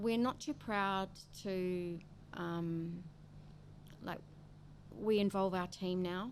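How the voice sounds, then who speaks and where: With long, frequent pauses, a woman in a New Zealand accent speaks at a very slow pace. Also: medium pitch for a woman, ordinary pitch variation. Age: 60s. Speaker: coffee roastery founder. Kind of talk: interview.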